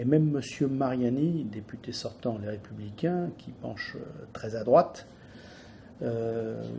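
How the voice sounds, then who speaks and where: A man's medium-pitched voice with ordinary pitch variation at a very slow pace, plus audible room echo. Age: 60s. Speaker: business owner. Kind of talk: political statement. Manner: halting.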